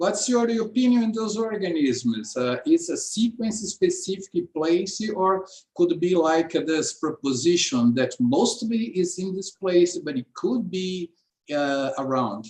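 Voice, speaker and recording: Here a man talks in a high pitch, his voice making very wide pitch swings. His pace is fairly slow. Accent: Portuguese. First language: Portuguese. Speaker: seminar host. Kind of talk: academic Q&A. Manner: halting.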